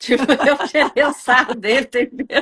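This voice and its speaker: Her tone bright and sharp, a woman speaks at a moderate pace with a high pitch. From Brazil. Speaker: channel host, Brazilian emigrant. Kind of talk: casual conversation.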